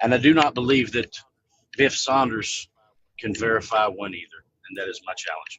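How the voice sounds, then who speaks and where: A man talks at a moderate pace with ordinary pitch variation, long, frequent pauses and big swings in loudness. The sound is dry with no echo, over light background noise. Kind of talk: debate. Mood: challenging, measured. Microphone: video call.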